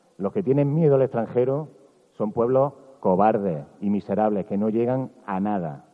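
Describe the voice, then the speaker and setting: This man talks at a moderate pace with lively intonation and a fairly low pitch. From Andalusia, Bailén (Jaén). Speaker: journalist giving a festival proclamation speech. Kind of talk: public proclamation speech. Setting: outdoor town square stage with audience. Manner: animated.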